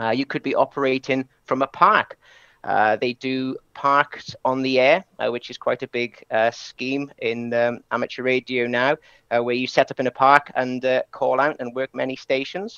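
In a dry recording with no echo and a quiet background, a man with a bright, sharp tone speaks at a fairly slow pace. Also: medium pitch for a man, fairly even intonation. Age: 30s. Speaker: amateur radio operator. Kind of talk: presentation. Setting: live webinar stream. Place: home room.

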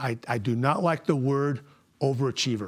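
The voice shows ordinary pitch variation. The background is quiet. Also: man. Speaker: guest, coach. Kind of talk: motivational talk. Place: meeting room.

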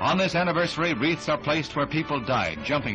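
A man talks at a fairly quick pace. Music plays behind him. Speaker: newsreel narrator. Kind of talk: 1960s newsreel narration.

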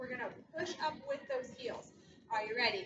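Over music in the background, a woman with a raised, projected voice speaks at a moderate pace in a high pitch with an upbeat tone. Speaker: fitness instructor. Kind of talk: workout class cueing. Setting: video workout. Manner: upbeat, encouraging, rhythmic cueing with countdowns; warm, supportive, reassuring. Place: gym. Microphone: camera far.

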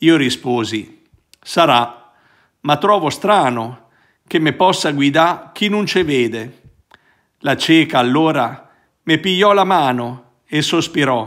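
Against a quiet background, a man speaks very slowly with lively intonation. He leaves long, frequent pauses. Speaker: priest. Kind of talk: reading aloud a poem in Roman dialect, then reflective commentary. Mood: warm, smiling. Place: home room. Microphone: phone near.

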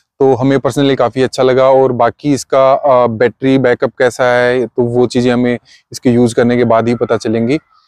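A man speaks at a moderate pace and medium pitch, his clear, smooth, slightly mellow tone showing little pitch movement in a dry, close recording with no echo.

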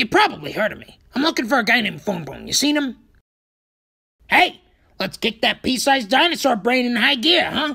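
A put-on character voice, fairly high in pitch and fairly quick, broken by long, frequent pauses. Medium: dub. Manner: brash, impatient.

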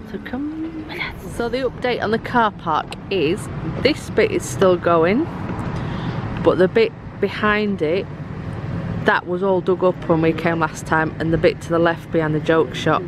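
With a dry sound with no echo but noticeable background noise, a woman at a fairly low pitch talks at a fairly slow pace with long, frequent pauses. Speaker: vlogger. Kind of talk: casual vlog chat. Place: street. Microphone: phone near.

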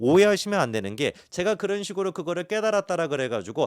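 Talking at a very fast pace with lively intonation, a man is captured in a very clean recording with a silent background and a dry, close sound with no echo. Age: 30s. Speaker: YouTuber. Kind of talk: monologue talk to camera.

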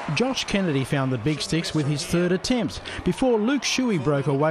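A man with an Australian accent speaks at a high pitch and moderate pace, with very wide pitch swings. Noticeable background noise runs underneath. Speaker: sports news presenter. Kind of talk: scripted sports news recap voiceover. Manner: brisk, formal, even-paced narration.

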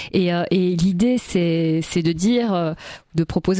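A woman's dark, mellow tone, dry with no echo, over a quiet background. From Belgium (Brussels); Belgium. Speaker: singer and stage performer; interviewee. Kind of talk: radio interview. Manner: animated. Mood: warm, enthusiastic. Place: studio. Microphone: studio mic.

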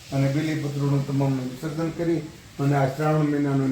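A man speaks with a fairly high pitch and a flat, monotone delivery. The room echo is audible, and background noise is noticeable. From Gujarat, Bhavnagar district. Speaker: devotee. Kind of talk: testimony.

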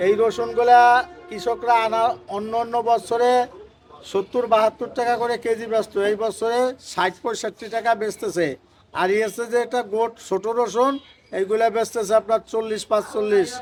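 High-pitched male voice with fairly even intonation. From Faridpur, Bangladesh. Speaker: onion and garlic trader. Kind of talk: market interview. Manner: colloquial, dialectal.

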